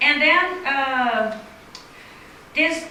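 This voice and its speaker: Speaking in a Brazilian Portuguese accent, a woman raises and projects her high-pitched voice amid noticeable background noise and audible room echo. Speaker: paleobotanist. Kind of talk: lecture.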